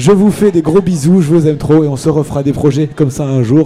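The speech keeps a moderate pace and ordinary pitch variation. Behind it, music can be heard. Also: man. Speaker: radio host. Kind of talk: live radio show. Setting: live broadcast from a bar with audience. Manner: hesitant, many fillers.

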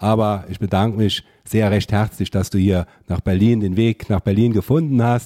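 Recorded with a dry, close sound and no echo, a man speaks at a moderate pace in a dark, mellow tone with fairly even intonation. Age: young. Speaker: member of parliament. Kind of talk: political interview podcast.

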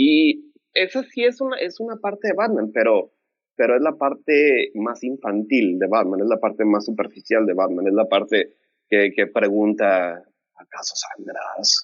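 With a Mexican accent, a man speaks at a fairly slow pace. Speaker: film fan panelist. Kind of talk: casual chat.

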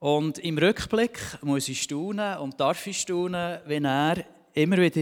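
In a very clean recording with a silent background, a man talks at a fairly slow pace in a high pitch. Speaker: church member giving testimony, vocational trainer. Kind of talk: testimony.

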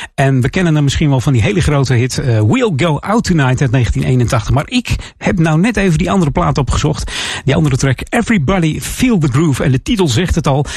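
Over noticeable background noise, a man with a fairly high pitch and lively intonation talks at a fairly quick pace, his loudness very even. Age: 50s. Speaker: radio DJ. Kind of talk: music radio presenting.

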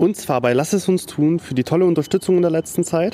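The voice belongs to a man with a dark, mellow tone. He keeps a moderate pace. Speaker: podcast host. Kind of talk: casual podcast interview. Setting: podcast studio office.

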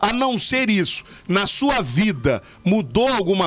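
A man with lively intonation. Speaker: radio podcast host. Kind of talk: casual radio chat.

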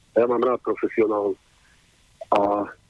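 A man talks at a moderate pace. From Slovakia. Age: 60s. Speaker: caller. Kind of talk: phone-in question. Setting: phone call.

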